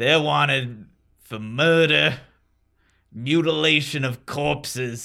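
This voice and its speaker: A man does a put-on character voice at a medium pitch and a fairly slow pace, with long, frequent pauses. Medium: actual play. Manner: curt, bossy.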